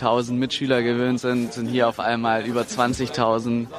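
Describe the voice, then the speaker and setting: Against noticeable background noise, a man speaks at a medium pitch in a flat, monotone delivery. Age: 20s. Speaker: engineering student. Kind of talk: interview.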